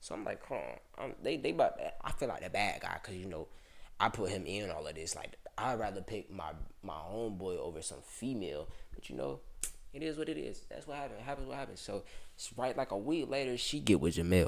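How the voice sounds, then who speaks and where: A man speaks at a fairly quick pace in a fairly low voice with vocal fry and very wide pitch swings. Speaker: vlogger. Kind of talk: storytime. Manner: fast; casual.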